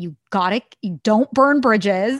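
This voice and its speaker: A woman with an American accent and lively intonation. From US, San Francisco Bay Area. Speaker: leadership coach. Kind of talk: casual chat. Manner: giggly.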